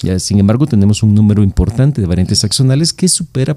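Fairly low in pitch, a man speaks with a dark, mellow tone at a fairly quick pace. The sound is dry and close, with no echo. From El Salvador. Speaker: neurologist. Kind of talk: medical podcast interview.

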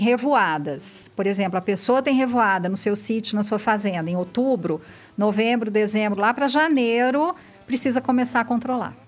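This woman has an unremarkable speaking voice at a fairly high pitch. She keeps a moderate pace with lively intonation. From Minas Gerais, Brazil. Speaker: biologist and research institute director. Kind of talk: podcast interview, explaining science.

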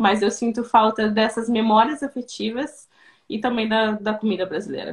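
A woman speaks in a somewhat breathy voice with fairly even intonation, on a very clean recording with a silent background. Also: moderate pace. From southern Brazil, Rio Grande do Sul. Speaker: Brazilian expat in Croatia. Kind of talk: interview on live stream. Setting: live video stream. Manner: hesitant, many repetitions.

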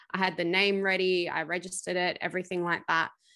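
In an Australian accent, a woman speaks in a fairly low pitch with a bright, sharp tone. Her intonation is monotone and flat, and the background is quiet. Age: 20s. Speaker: PR agency founder. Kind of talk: interview.

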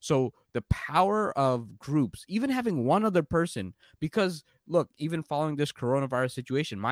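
Someone with a New York accent speaks with very wide pitch swings, the recording very clean with a silent background and a dry, close sound with no echo. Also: man. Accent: New York American. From New York, US (born in Bangladesh, moved at three). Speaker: entrepreneur and career coach. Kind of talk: casual interview.

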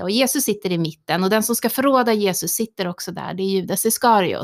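A woman's medium-pitched voice, very fast and with lively intonation, on a very clean recording with a silent background. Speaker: priest. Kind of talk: casual chat. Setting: studio.

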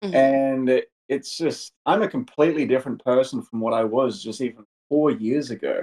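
This man has a dark, mellow tone and a fairly high pitch. He speaks with lively intonation and hardly any pauses. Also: moderate pace. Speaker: podcast interviewer. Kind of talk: interview.

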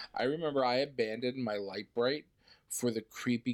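At a moderate pace, a man with a plain, everyday voice speaks with fairly even intonation. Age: 30s. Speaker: podcast co-host. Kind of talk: casual chat.

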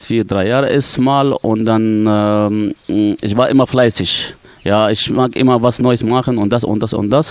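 In a dry, close recording with no echo, a man talks at a medium pitch with fairly even intonation. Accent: Arabic. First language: Arabic (speaking German). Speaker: dive instructor. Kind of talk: casual interview. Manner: halting.

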